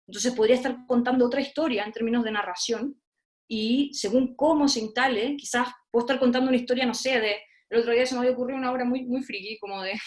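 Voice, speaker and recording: Very fast and fairly even in intonation, a woman talks in a high voice. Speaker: theatre researcher and lecturer. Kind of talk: online talk.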